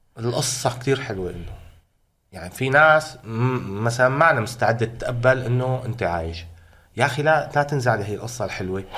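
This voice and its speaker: A man at medium pitch speaks at a moderate pace in a bright, sharp tone, his loudness swinging widely amid audible room echo. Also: ordinary pitch variation. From Syria, Hama. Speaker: protest chant singer. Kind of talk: interview. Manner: animated.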